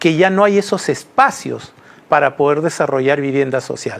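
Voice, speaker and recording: Ordinary pitch variation from a man at a moderate speed. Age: 60s. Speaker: construction industry executive. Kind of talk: TV interview.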